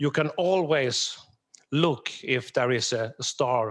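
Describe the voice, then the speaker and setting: A man's fairly high voice with a southern Swedish accent. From southern Sweden. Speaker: security architect, conference speaker. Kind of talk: conference presentation.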